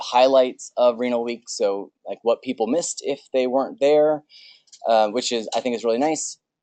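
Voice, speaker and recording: This man's voice sits at a medium pitch with fairly even intonation. It sounds dry and close, with no echo. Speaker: veterinary specialist chairing association meeting. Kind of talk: business meeting presentation. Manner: fast.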